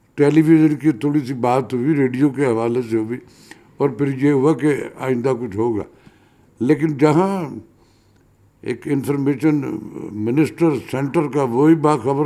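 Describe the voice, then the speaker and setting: Pausing long and often, a man speaks with a fairly high pitch, a dark, mellow tone and fairly even intonation. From Pakistan, Lahore. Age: 70s. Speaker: veteran actor and radio broadcaster. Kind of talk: interview.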